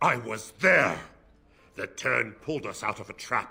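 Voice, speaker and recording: Growling in a put-on character voice, a man speaks at a moderate pace and medium pitch with big swings in loudness. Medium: video game. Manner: brusque, commanding.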